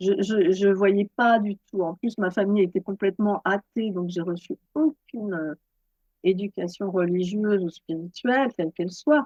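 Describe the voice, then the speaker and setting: At a fairly slow pace, a woman speaks at medium pitch in a dark, mellow tone with ordinary pitch variation and a dry, close sound with no echo. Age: 60s. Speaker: yoga teacher and author. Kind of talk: interview. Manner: halting.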